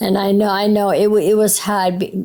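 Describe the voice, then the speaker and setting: Here is a woman talking. She has a Maine accent. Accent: classic Maine accent, non-rhotic. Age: 70s. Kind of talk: interview answer.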